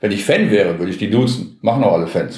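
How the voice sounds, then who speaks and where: A man talks at a very fast pace in a medium pitch, his intonation lively. Noticeable background noise and audible room echo fill the recording. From Gelsenkirchen, Ruhr area, Germany. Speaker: sports TV presenter. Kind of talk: casual chat.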